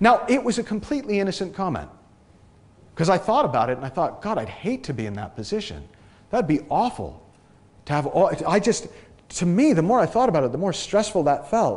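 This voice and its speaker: A man's high voice at a fairly quick pace, with very wide pitch swings. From New England, US (near Boston, Massachusetts). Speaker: transformation coach. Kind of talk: talk to an audience. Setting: stage with audience. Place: hall.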